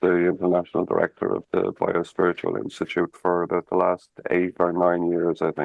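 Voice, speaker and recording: With an Irish accent, a man talks at a moderate pace. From Ireland, Dublin. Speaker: spiritual practice teacher. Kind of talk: interview conversation.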